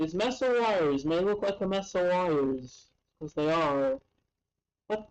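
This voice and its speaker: Speaking quietly at a fairly slow pace with long, frequent pauses, a woman uses a medium pitch and very wide pitch swings. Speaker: maker building electronics on a live stream. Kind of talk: live stream build commentary. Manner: quiet, concentrating; halting.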